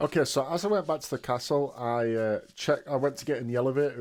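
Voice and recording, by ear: The pitch varies in an ordinary way while someone is reading aloud in a natural voice.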